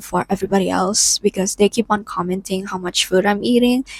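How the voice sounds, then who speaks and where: At a moderate pace, a woman speaks in a medium pitch with fairly even intonation, somewhat breathy, in a dry, close sound with no echo. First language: not English. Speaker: lifestyle vlogger. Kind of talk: personal vlog monologue. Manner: casual, frequent filler 'like'.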